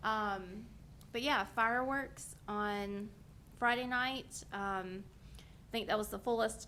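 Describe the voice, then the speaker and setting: A woman speaks with a fairly high pitch and fairly even intonation. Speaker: county events staff. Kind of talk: public meeting update. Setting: county board meeting, microphone. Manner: loud.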